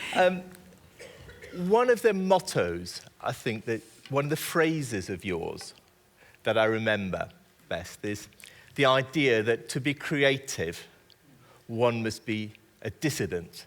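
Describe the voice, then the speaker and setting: Very wide pitch swings at a fairly slow pace, with long, frequent pauses. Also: man, medium pitch for a man. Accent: British. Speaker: writer and interviewer. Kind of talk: on-stage interview. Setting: stage with audience.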